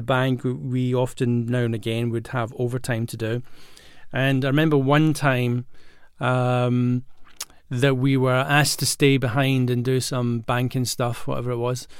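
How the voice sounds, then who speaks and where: With a Glaswegian accent, a man speaks at a moderate pace in a medium pitch. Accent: Glaswegian Scottish. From Scotland (Glasgow). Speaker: acting coach and podcast host. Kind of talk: solo podcast monologue. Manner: casual with many fillers and restarts.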